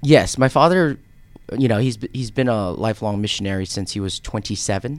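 An ordinary speaking voice with an American accent, lively intonation and a fairly quick pace, on a very clean recording with a silent background. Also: man, medium pitch for a man. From US (raised partly in Korea). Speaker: financial advisor. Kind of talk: radio interview. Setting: studio.

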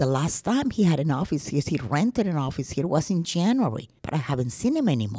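A woman with a very deep, low voice talks at a fairly quick pace with hardly any pauses, her pitch swinging very widely. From Colombia. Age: 70s. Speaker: crime victim. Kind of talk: testimony.

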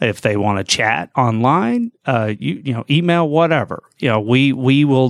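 With an American accent, a man in a normal speaking voice talks at a fairly slow pace with ordinary pitch variation. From US South, north Georgia (Gainesville). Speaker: financial services executive. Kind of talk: radio interview. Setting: studio.

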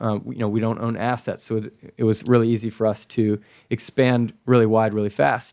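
Fairly even intonation marks a man's normal speaking voice in a very clean recording with a silent background. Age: 20s. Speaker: startup founder. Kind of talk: interview. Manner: frequent filler words.

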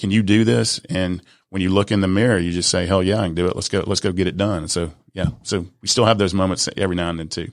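A man with an Atlanta accent and a fairly low pitch talks at a very fast pace on a very clean recording with a silent background. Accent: Southern US (Atlanta). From US South, south side of Atlanta, Georgia. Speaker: business and mindset coach, speaker, author. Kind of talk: interview. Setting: studio. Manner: animated.

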